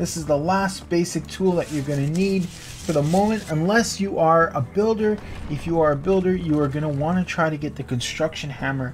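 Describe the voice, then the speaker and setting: Noticeable background noise under a fairly quick pace. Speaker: gaming youtuber. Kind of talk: tutorial.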